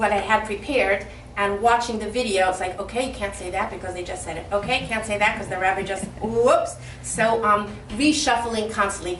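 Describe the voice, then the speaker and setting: A woman talks at a fairly quick pace and medium pitch, with ordinary pitch variation and big swings in loudness. Audible room echo and noticeable background noise surround her voice. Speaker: rebbetzin and lecturer. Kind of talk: speech at an inauguration event.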